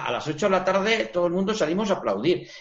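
There is noticeable background noise. A man talks at a moderate pace with a high pitch. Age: 60s. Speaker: retired psychologist. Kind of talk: TV interview.

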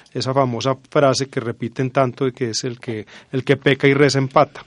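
A man talks in a normal speaking voice at medium pitch, with a dry, close sound and no echo. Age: 40s. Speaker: university lecturer and researcher. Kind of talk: radio interview.

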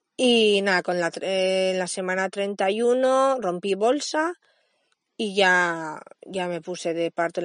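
Speaking at a very slow pace against a quiet background, a woman uses a medium pitch with ordinary pitch variation. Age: 30s. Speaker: podcast host, mother and early childhood educator. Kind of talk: personal podcast monologue. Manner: halting, with frequent repetitions and fillers.

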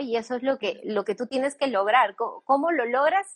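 In a dry, close sound with no echo, a woman with a high pitch speaks at a fairly quick pace with lively intonation. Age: 30s. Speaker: brand founder and creative director. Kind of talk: interview.

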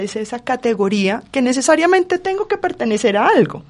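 The voice belongs to a woman and is high-pitched. Her pace is fairly quick. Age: 40s. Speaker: forensic psychologist. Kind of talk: panel discussion.

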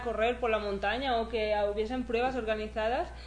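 A woman with a Catalan accent talks with ordinary pitch variation, heard over noticeable background noise and audible room echo. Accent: Spanish (Catalonia) Spanish. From Spain, near Barcelona. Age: 20s. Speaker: trail runner. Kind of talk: interview.

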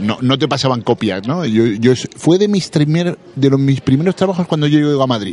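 A man with a plain, everyday voice speaks at a moderate pace, his fairly high pitch moving in lively intonation. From Andalusia, Cádiz. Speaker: actor and comic book critic. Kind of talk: interview. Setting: audiovisual festival.

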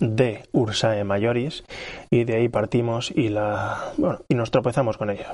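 At a moderate pace, a man talks in a medium pitch. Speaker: amateur astronomy podcaster. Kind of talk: observing session narration. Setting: outdoors on a terrace. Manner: soft-spoken; relaxed, calm.

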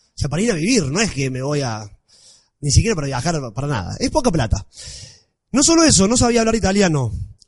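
An animated man races along at a very fast pace with very wide pitch swings. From Argentina, Villa María, Córdoba. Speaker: blogger. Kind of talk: talk to an audience.

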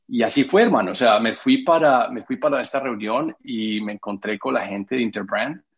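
A man talks with an Antioquian accent, leaving hardly any pauses. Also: moderate pace. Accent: Colombian paisa Spanish. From Colombia, Medellín. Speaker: architect and creative director. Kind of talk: interview. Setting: video call. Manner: halting.

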